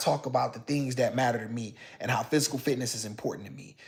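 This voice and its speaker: A man's voice with vocal fry and ordinary pitch variation. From Detroit, US. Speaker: live-stream host. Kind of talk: live-stream monologue. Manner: animated; repetitive restarts.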